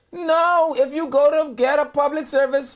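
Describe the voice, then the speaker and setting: A woman's high-pitched voice at a moderate pace. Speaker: radio talk show host. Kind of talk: casual talk radio chat.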